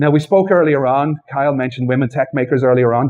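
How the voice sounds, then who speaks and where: A man with an Irish accent, fairly high in pitch, at a fairly quick pace. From Ireland. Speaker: software developer advocate. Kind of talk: tech talk. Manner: conversational.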